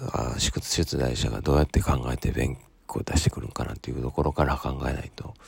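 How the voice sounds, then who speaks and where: Moving at a fairly quick pace, a man speaks in a very deep, low voice. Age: 30s. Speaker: solo podcaster studying for an exam, parent. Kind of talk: casual monologue. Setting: early morning at home. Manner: halting, many fillers.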